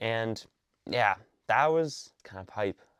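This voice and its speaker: A man's plain, everyday voice with ordinary pitch variation, over a quiet background. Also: dry, close sound with no echo. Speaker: sports commentator YouTuber. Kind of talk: casual commentary. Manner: casual, filler-heavy.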